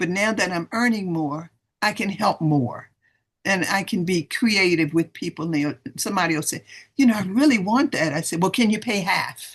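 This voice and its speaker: Somewhat breathy and medium in pitch, a woman speaks at a moderate pace with lively intonation. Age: 70s. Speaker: retired professor and sales distributor. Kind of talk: testimony. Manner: animated.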